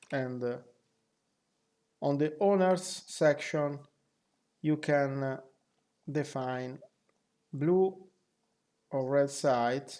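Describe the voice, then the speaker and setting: The speaker talks at a very slow pace with long, frequent pauses and a non-native accent. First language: not English. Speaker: flight sim group member. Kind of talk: software tutorial narration.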